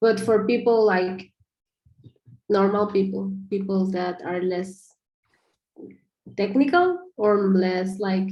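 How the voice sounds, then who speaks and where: A woman's medium-pitched voice with a dark, mellow tone, monotone, flat intonation, a very slow pace, and long, frequent pauses. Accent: non-native. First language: not English. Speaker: project feedback giver. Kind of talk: video call discussion. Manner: halting, many fillers.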